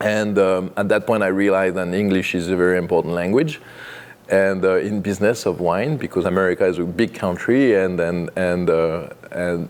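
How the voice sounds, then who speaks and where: A French accent with ordinary pitch variation. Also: man, very deep, low pitch for a man, moderate pace. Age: 50s. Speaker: winemaker. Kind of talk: oral history interview. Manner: halting, many fillers.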